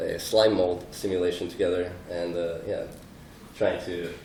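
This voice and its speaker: Amid noticeable background noise and audible room echo, a man talks in a very deep, low pitch with a monotone, flat intonation. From Texas. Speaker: artist and coder. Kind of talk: conference presentation. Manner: halting, many fillers.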